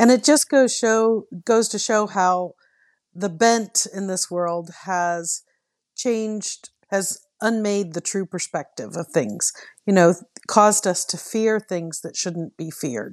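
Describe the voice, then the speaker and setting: A woman of medium pitch talks at a very slow pace with ordinary pitch variation. The sound is dry and close with no echo, over a quiet background. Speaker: book club guest. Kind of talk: casual book discussion.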